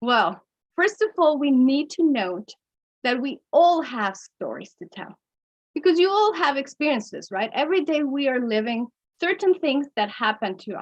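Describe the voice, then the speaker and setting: A woman with a Mexican accent speaks at a moderate pace in a high pitch, her pitch swinging very widely and her loudness rising and falling in big swings. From Mexico. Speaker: storytelling workshop presenter. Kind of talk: workshop lecture. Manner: occasional stumbles on pronunciation.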